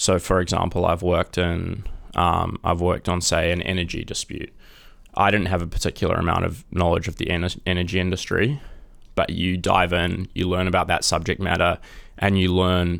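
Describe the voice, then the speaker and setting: Here is a man with a New Zealand accent. His voice is very deep and low in pitch. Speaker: junior lawyer. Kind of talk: casual interview.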